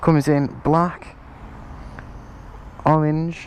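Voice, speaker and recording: There is noticeable background noise behind this speaker with an English accent. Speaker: motorbike rider. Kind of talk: product review to camera. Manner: casual.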